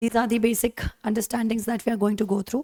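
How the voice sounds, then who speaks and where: A woman speaks very fast with an Indian accent, in a dark, mellow tone at fairly high pitch. Her intonation stays monotone and flat, with a dry, close sound and no echo. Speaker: teacher. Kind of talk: lecture.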